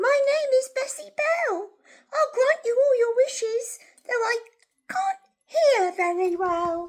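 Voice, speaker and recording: In a put-on character voice, a female-sounding speaker goes squeaky and extremely high-pitched at a fairly slow pace. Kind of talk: bedtime story. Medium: read story.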